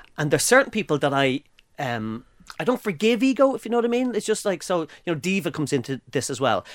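A man with an Irish accent talks very fast in a fairly high voice, his pitch swinging very widely in an animated tone, recorded dry and close with no echo in a very clean take with a silent background. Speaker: podcast co-host. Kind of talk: casual chat. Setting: studio.

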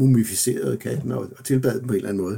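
A man's dark, mellow voice with vocal fry, moderate in pace and ordinary in pitch variation. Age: 60s. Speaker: professor. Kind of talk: interview. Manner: halting.

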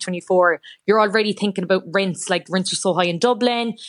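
In an Irish accent, a woman talks at a fairly quick pace in a monotone, flat delivery against a quiet background. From Ireland. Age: 20s. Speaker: journalist. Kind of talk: radio interview.

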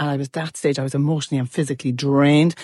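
A woman with an Irish accent, talking very fast, in a dry, close sound with no echo. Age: 50s. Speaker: listener sending a voice note. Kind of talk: voice note story.

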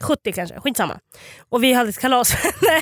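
A high-pitched woman with lively intonation and a dry, close sound with no echo. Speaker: podcast host. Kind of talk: casual chat.

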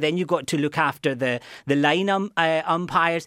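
On a very clean recording with a silent background, a man speaks with a Glaswegian accent and fairly even intonation. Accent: Glaswegian Scottish. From Scotland, Glasgow. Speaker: university lecturer. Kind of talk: radio interview. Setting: studio. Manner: halting, many repetitions.

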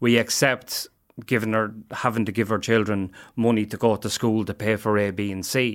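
A man speaks in an Irish Midlands accent at a moderate pace, his pitch fairly low. His intonation is monotone and flat, and the recording is very clean with a silent background. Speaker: addiction services worker. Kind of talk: interview.

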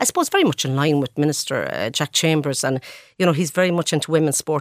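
A woman talks very fast with a very deep, low pitch, in a dry, close sound with no echo on a very clean recording with a silent background. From west of Ireland (Sligo/Galway). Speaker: chief executive. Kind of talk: radio interview.

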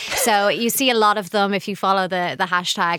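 Noticeable background noise sits behind a woman's voice. She talks fairly quickly at medium pitch with ordinary pitch variation. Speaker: journalist guest on interior trends. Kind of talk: casual chat.

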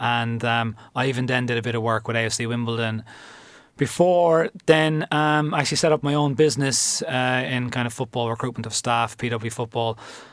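With a Cork accent, a man talks at a medium pitch. His pace is fairly quick and his intonation fairly even. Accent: Cork Irish. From Cork, Ireland. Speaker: football club manager. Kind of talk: interview. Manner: halting, many fillers.

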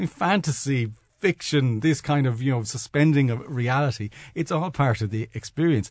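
Somewhat breathy male voice at a moderate pace. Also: medium pitch for a man, ordinary pitch variation. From Dublin, Ireland. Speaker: corporate communications manager. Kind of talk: casual panel chat. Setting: studio.

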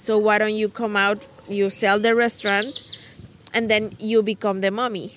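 A woman with a Spanish accent speaks at a moderate pace in a fairly high pitch, her intonation monotone and flat. Her loudness stays very even over noticeable background noise. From Mexico. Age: 30s. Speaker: mother of two. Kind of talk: casual chat. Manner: halting.

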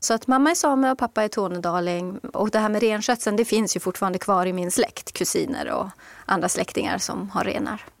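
A woman with an unremarkable speaking voice, pitched fairly high. She talks at a fairly quick pace with ordinary pitch variation. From Swedish Lapland, Kiruna. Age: 50s. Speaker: author. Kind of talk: interview.

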